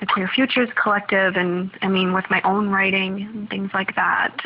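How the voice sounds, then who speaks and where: A woman speaks with an American accent at a medium pitch. Her intonation is flat and monotone. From US Midwest, Minnesota. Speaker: PhD student and researcher. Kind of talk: recorded voice update. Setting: at home.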